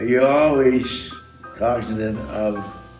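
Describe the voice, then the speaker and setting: Over background music and audible room echo, a man with a medium pitch speaks at a very slow pace with fairly even intonation. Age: 90s. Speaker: sculptor. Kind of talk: interview. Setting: studio.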